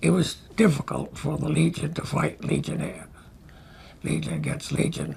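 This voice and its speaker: A man with an American accent talks at a moderate pace, leaving long, frequent pauses. Background noise is noticeable. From United States. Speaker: war veteran. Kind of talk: testimony.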